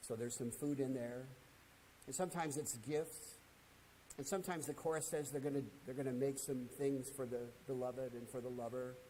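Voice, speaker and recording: A man's dark, mellow tone at a fairly quick pace, broken by long, frequent pauses, with audible room echo. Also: medium pitch for a man, fairly even intonation. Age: 70s. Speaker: Bible class teacher. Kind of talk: lecture. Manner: conversational with frequent fillers and repetitions.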